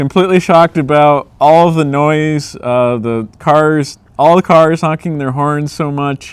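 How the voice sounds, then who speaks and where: A man with a normal speaking voice talks at a fairly high pitch, with ordinary pitch variation. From United States. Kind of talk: casual Q&A talk to camera.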